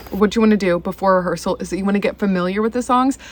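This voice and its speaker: A woman at a medium pitch, with music in the background. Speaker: violinist on church worship team. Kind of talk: vlog tutorial. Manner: casual, chatty.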